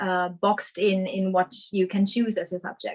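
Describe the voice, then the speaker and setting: A woman with a German accent. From Germany, Essen. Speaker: surgical resident doctor. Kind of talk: webinar presentation. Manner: hesitant, many fillers.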